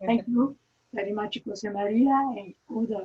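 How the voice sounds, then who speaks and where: A woman with an Italian accent speaks at a fairly slow pace in a medium pitch, her pitch varying in an ordinary way. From Italy. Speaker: architecture lecturer. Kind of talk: lecture. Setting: video call. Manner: halting.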